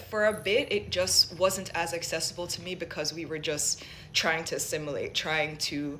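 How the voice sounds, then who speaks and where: Noticeable background noise sits behind a woman speaking at a medium pitch. Her intonation is lively and her pace fairly slow. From Jamaica, then US from age seven. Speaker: vlogger. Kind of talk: personal testimony.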